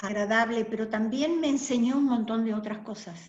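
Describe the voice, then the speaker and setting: Somewhat breathy and fairly high-pitched, a woman with a German accent speaks at a fairly slow pace with fairly even intonation. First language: German (speaking Spanish). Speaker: interviewee, community member. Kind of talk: oral history interview.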